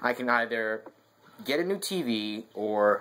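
The speaker is a man. His pitch shows ordinary variation. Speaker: gaming vlogger. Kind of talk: casual vlog chat. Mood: mildly glum, resigned. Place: home room. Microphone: webcam.

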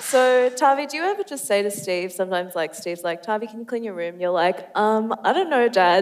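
A woman at a fairly quick pace with lively intonation, over noticeable background noise. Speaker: interviewer. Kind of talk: on-stage interview. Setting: stage with audience. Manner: breathless.

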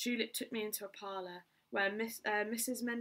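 It is an unforced reading voice. The intonation is fairly even.

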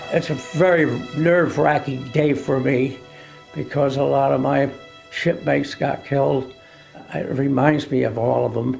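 Faint music plays in the background as a man speaks at a fairly slow pace with fairly even intonation. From United States. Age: 80s+. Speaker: war veteran. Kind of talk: interview answer. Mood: somber, reflective. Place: home room.

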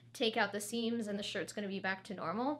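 Her intonation fairly even, a woman is talking. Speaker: fashion tutor. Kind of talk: tutorial. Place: studio.

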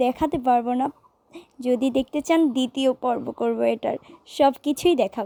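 A woman's high voice with a dark, mellow tone and fairly even intonation, dry and close with no echo. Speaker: singer and vlogger. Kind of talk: vlog narration.

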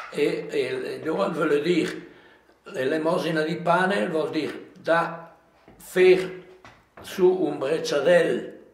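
A man with a strong Lombard accent speaks at a very slow pace in a high pitch, leaving long, frequent pauses. His intonation is fairly even, and the room echo is audible. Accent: strong Livigno dialect. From Livigno, Lombard Alps, northern Italy; Lombardy, Italy. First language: Livignasco dialect (speaking Italian). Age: 80s+. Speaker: elderly local storyteller. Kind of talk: interview reminiscence. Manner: halting, many repetitions.

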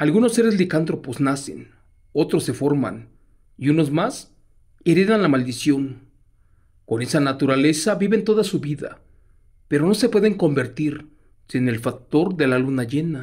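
A man with a Mexican accent speaks in a dramatic tone at a fairly high pitch with lively intonation. His pace is fairly slow, with long, frequent pauses. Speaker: horror storyteller reading listener letters live. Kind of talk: live ghost story narration, reading a listener's letter. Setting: live stream. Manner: hushed, suspenseful, dramatic.

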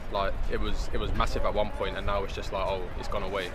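A man talks at a very fast pace, the sound dry with no echo and loud noise behind him. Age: 20s. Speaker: member of the public. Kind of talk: street interview answer. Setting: outdoors. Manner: casual. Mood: relaxed, slightly worried. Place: street.

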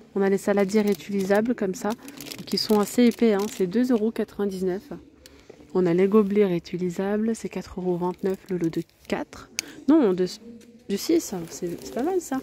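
A woman speaks at a very slow pace with long, frequent pauses in a dry sound with no echo, over light background noise. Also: ordinary pitch variation. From France. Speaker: video blogger touring a store. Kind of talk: street-market pitchman patter, rattling off products and prices to camera. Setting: in a shop, filming on location. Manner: repetitive hype, with 'regardez' and 'hein' hooks. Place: shop. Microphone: phone near.

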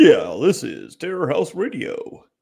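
Using a put-on character voice, a man speaks at a fairly slow pace with an extremely high pitch. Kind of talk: announcer-style. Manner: mock-dramatic, failed attempt.

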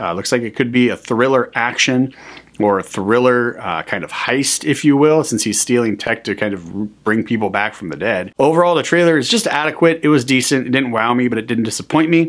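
Over a quiet background, a man speaks at a fairly quick pace. His intonation is lively. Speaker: movie reviewer. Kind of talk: casual movie trailer review to camera. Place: home room.

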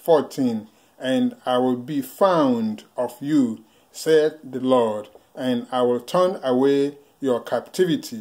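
At a slow pace, a man talks in a slightly mellow tone at a medium pitch with ordinary pitch variation.

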